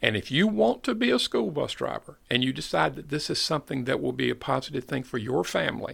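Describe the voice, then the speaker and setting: Here a man speaks with a slight Southern US accent. His pace is fairly quick. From US South, North Carolina (Fayetteville). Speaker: school bus company manager. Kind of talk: podcast interview.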